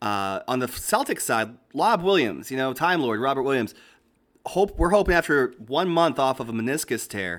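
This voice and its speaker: In an American accent, a man with a normal speaking voice talks at a moderate pace with a medium pitch and lively intonation, on a very clean recording with a silent background. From Boston. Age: 30s. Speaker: sports pundit. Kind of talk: casual chat.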